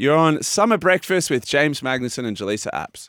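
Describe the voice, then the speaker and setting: The speaker has an Australian accent and a fairly quick pace. The recording is very clean, with a silent background and a dry, close sound with no echo. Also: man. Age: 30s. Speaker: sports radio host, retired swimmer. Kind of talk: casual chat.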